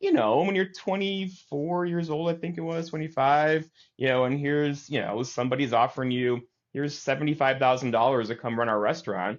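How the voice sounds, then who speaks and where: A man speaks with a Midwestern accent at a fairly quick pace. His voice is fairly high, with ordinary pitch variation. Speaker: TV meteorologist and news director. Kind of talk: interview. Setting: podcast. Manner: casual, many fillers.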